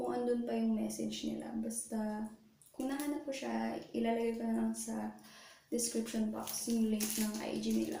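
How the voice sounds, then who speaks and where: A soft-spoken woman talks at a moderate pace. Audible room echo and noticeable background noise surround her voice. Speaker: beauty vlogger. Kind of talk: makeup tutorial. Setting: bathroom. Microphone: echo in bathroom.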